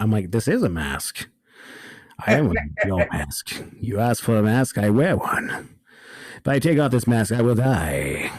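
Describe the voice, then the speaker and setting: Putting on a character voice at a medium pitch, a man speaks at a moderate pace with very wide pitch swings and long, frequent pauses. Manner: menacing, measured.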